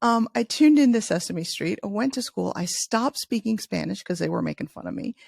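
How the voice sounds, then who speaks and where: A woman with an American accent talks at a moderate pace. The recording is very clean with a silent background and a dry, close sound with no echo. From US Midwest, Chicago. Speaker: leadership author. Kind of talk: interview.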